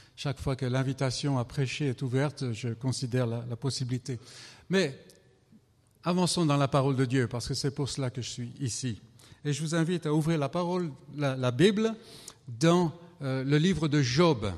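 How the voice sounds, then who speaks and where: This man's voice is somewhat breathy and fairly high-pitched, with ordinary pitch variation. He talks at a moderate pace, leaving long, frequent pauses. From France. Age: 70s. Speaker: visiting preacher. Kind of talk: sermon.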